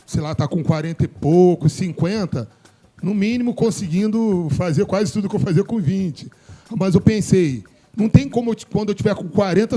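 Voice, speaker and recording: Over noticeable background noise, a man talks at a moderate pace and high pitch with ordinary pitch variation. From Brazil, Morro Agudo (Rio de Janeiro area). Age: 40s. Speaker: DJ and show host. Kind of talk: casual group discussion.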